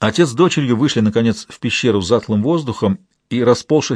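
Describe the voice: Over a quiet background comes plain reading aloud with lively intonation.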